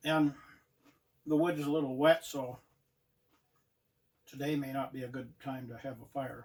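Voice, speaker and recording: Moderately paced, a man speaks in a fairly high voice with a relaxed tone and monotone, flat intonation. His loudness swings widely, and long, frequent pauses break up his speech. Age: 70s. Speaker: outdoor vlogger. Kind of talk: casual vlog talk. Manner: relaxed, halting with fillers.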